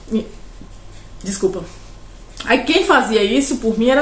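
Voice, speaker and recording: Room echo and noticeable background noise surround a woman's voice. Her pitch is fairly high and her intonation lively. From Brazil, Pará. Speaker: vlogger. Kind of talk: personal storytelling monologue. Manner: loud; rambling, conversational with fillers.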